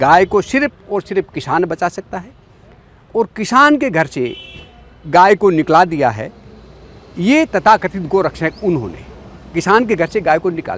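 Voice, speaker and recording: A man speaks in a high pitch with very wide pitch swings, big swings in loudness and long, frequent pauses, in a dry, close recording with no echo but noticeable background noise. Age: 50s. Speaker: farmer and rural commentator. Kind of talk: talk show discussion. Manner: emphatic.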